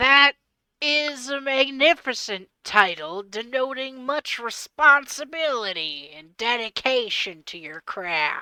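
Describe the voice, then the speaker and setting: A female-sounding put-on character voice talks in a high pitch at a fairly slow pace. The recording is very clean and the background silent. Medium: actual play. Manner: verbose, courteous.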